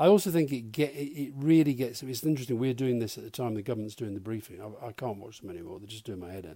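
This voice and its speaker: In a southern English accent, a man speaks very fast at a medium pitch with lively intonation and hardly any pauses. His loudness swings a lot. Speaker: former government adviser. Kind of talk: casual chat. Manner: soft-spoken.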